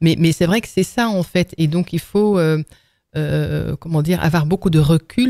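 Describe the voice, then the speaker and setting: A woman's dark, mellow voice, fairly low and fairly slow, with ordinary pitch variation and a dry, close sound with no echo on a very clean recording against a silent background. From Netherlands. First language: Dutch (speaking French). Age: 50s. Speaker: entrepreneur. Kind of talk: podcast interview. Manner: hesitant, many fillers and repetitions.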